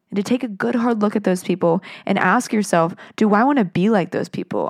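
With a normal speaking voice, a woman talks at a moderate pace with ordinary pitch variation on a very clean recording with a silent background. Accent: American. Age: 20s. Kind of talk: solo podcast devotional talk.

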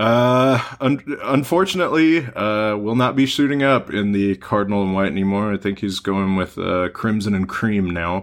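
Recorded very cleanly over a silent background, a man speaks at a fairly slow pace with fairly low pitch, ordinary pitch variation and a normal speaking voice. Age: 20s. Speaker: sports podcast host. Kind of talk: casual chat.

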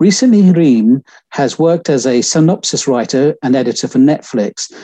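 A man's dark, mellow tone with lively intonation at a moderate pace, dry and close with no echo. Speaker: interviewer. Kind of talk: interview. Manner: halting.

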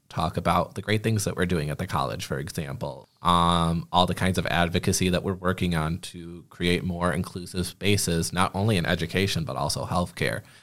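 In a very clean recording with a silent background, a man with an American accent speaks at a moderate pace with hardly any pauses, his very deep, low voice showing vocal fry and ordinary pitch variation. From Michigan, Genesee County. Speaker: communications coordinator and podcast host. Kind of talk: casual chat.

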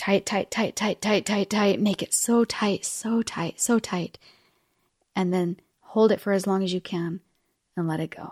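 In a normal speaking voice, a woman speaks at a medium pitch and fairly slow pace with fairly even intonation. The recording is very clean and dry, close with no echo, with a silent background. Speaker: podcast host. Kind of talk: guided meditation; solo podcast monologue, tips. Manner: warm, encouraging.

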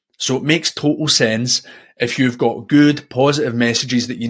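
There's a Scottish accent as this man speaks at a moderate pace. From Scotland. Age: 40s. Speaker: podcast host. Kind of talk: solo monologue about personal development. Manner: reflective, personal, conversational.

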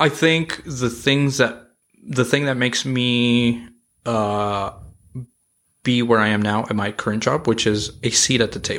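In a very clean recording with a silent background, a man with an unremarkable speaking voice talks at a fairly slow pace, medium in pitch with fairly even intonation. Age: 30s. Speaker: restaurant industry leader. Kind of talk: casual chat.

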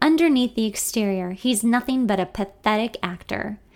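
This is a natural reading voice. It has ordinary pitch variation.

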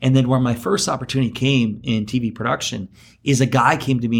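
A man with a US Midwestern accent at a medium pitch and a fairly quick pace, in a very clean recording with a silent background. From Iowa, US Midwest. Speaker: entrepreneur and TV producer. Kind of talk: interview.

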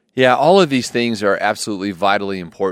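In a very clean recording with a silent background, a man uses an ordinary speaking voice, fairly low in pitch, at a fairly quick pace with ordinary pitch variation. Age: 40s. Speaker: counselor and podcast co-host. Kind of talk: casual chat.

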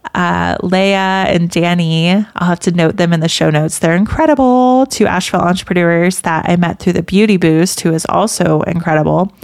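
With an American accent and a plain, everyday voice, a woman speaks at a moderate pace with ordinary pitch variation and very even loudness. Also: fairly low pitch for a woman, hardly any pauses. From US South. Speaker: podcast host and business founder. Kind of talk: solo casual talk.

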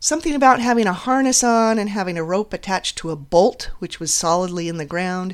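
The intonation of this woman is lively. She uses a normal speaking voice at a moderate pace. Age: 50s. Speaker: podcast host, counselor. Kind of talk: solo monologue, personal story.

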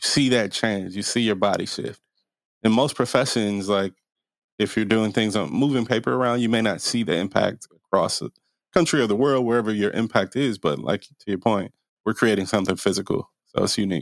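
A normal speaking voice with an American accent, at a fairly quick pace with ordinary pitch variation, in a dry, close sound with no echo and a very clean recording over a silent background. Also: man, fairly low pitch for a man. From US Midwest, Milwaukee. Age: 30s. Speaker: real estate developer. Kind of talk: interview.

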